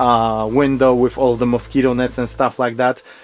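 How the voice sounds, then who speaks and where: Noticeable background noise surrounds a man speaking at medium pitch with ordinary pitch variation. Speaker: camper van builder. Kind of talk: vehicle tour.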